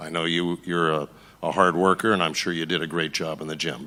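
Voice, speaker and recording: At a fairly quick pace, a man speaks with a bright, sharp tone at a very deep, low pitch, in a monotone, flat way. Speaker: boxing trainer. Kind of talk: press conference statement. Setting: press conference.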